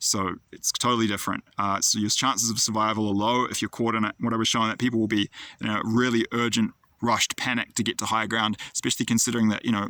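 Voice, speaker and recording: Very fast and very even in loudness, a man's bright, sharp voice stays monotone and flat, with a dry, close sound and no echo. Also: medium pitch for a man. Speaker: prophetic dream video maker. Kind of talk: monologue recounting dreams.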